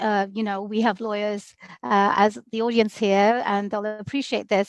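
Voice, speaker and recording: Recorded dry and close with no echo, the quiet background leaves a woman's voice clear. She speaks at a fairly slow pace. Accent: British. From London, England (also Bangladesh). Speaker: immigration lawyer. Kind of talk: podcast interview.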